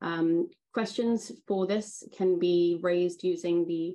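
A woman speaks at a fairly low pitch with a dark, mellow tone. Her intonation stays fairly even. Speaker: webinar moderator. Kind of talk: webinar moderation. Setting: video call. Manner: formal. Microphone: video call.

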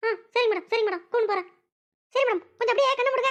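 In a squeaky, cartoonish character voice, a woman speaks very fast at an extremely high pitch, with ordinary pitch variation. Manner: deferential, repeats "madam".

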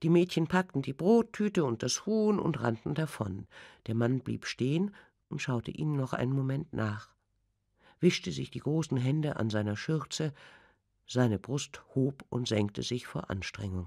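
A woman with a very deep, low pitch and a dark, mellow tone speaks at a fairly slow pace. Her pitch swings very widely on a very clean recording with a silent background. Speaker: audiobook narrator. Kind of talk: audiobook reading. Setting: studio. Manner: sensual, intense.

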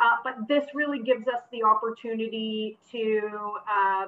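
This woman's voice shows ordinary pitch variation. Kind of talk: event presentation talk. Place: home room. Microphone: video call.

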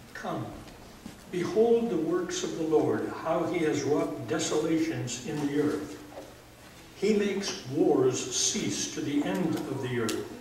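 Over light background noise and audible room echo, a man speaks very slowly in a fairly high voice with lively intonation. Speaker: pastor. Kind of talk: funeral eulogy. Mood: solemn, measured. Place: church. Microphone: camera far.

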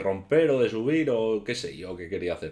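At a moderate pace, a man speaks with a dark, mellow tone. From Asturias, Spain. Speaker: YouTuber; youtuber. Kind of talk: casual vlog storytelling. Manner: halting. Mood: relaxed, anecdotal storytelling. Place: home room. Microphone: webcam.

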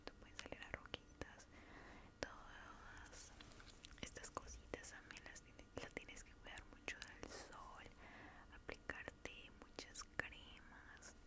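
A woman whispers, moving at a very slow pace. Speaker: ASMR creator. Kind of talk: soft skincare roleplay chat. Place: home room. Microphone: studio mic.

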